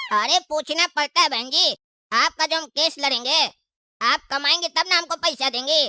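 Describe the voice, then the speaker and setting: A cartoonish character voice with a high pitch moves at a moderate pace. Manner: sly, rambling.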